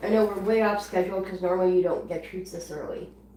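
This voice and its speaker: Speaking at a fairly quick pace with fairly even intonation, a woman is heard over noticeable background noise and audible room echo. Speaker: guinea pig channel owner. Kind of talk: live stream chat.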